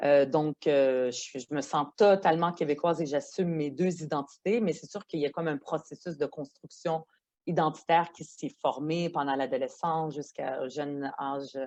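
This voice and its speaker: Her very deep, low pitch and dark, mellow tone come with fairly even intonation as the woman speaks at a moderate pace. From Quebec, arrived from Lebanon at age ten. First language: Arabic (speaking French). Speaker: politician, member of provincial legislature. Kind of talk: podcast interview. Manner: hesitant, many fillers.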